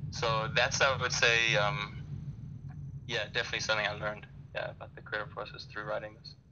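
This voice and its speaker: Fairly quick speech with fairly even intonation, big swings in loudness and audible room echo. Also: man, medium pitch for a man. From South Africa (Durban), raised in Canada from age 10. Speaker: novelist and tennis coach. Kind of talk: interview. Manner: halting, many fillers.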